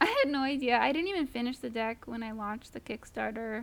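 This woman has a plain, everyday voice with ordinary pitch variation. She talks at a moderate pace. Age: 30s. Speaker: tarot deck artist and illustrator. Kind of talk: casual interview.

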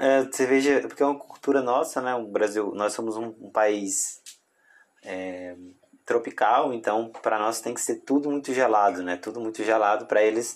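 A man's medium-pitched voice at a moderate pace. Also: ordinary pitch variation. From Brazil, Tocantins. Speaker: podcast host. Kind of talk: casual interview.

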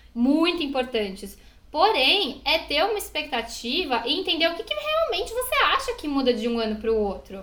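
A woman speaks at a fairly quick pace in a raised, projected voice, her high pitch swinging very widely. Noticeable background noise and audible room echo surround her. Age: 20s. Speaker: podcast co-host. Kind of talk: casual chat. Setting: recording at home.

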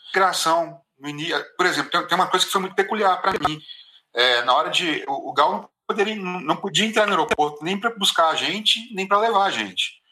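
Raising and projecting his high voice, a man speaks at a fairly quick pace with lively intonation. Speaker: traveller recounting a trip to India. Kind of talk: casual chat. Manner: halting, with many repetitions.

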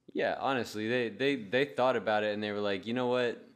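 A man with medium pitch talks at a fairly quick pace with fairly even intonation in a plain, everyday voice. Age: 20s. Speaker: podcast co-host, beer reviewer. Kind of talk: casual chat.

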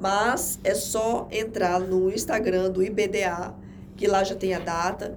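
A woman's medium-pitched voice, with fairly even intonation, is heard with audible room echo and noticeable background noise. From Rondônia, Brazil (Jaru, interior). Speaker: administrative law attorney. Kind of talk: interview, casual chat. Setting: podcast studio.

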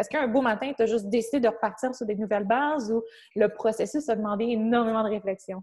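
Over a silent background on a very clean recording, a woman talks at a very fast pace in a somewhat breathy voice. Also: fairly high pitch for a woman, fairly even intonation. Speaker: podcast host and fitness trainer. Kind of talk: casual interview conversation.

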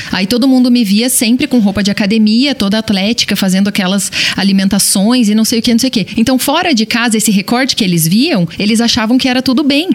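Noticeable background noise sits behind a woman with a fairly high pitch and ordinary pitch variation. She talks at a very fast pace with very even loudness. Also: hardly any pauses. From small-town Brazil. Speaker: podcast host. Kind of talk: casual chat.

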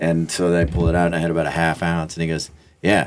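A man with an American accent talks at a very fast pace in a very deep, low pitch. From Kansas. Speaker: podcast guest. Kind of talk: casual chat.

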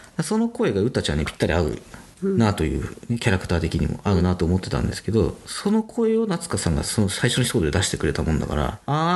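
Over noticeable background noise, a man speaks at a very fast pace with very wide pitch swings. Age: 40s. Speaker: web director. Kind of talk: casual chat.

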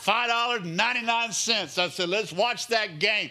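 With audible room echo, a man speaks in a bright, sharp tone. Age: 50s. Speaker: pastor. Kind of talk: sermon. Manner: animated.

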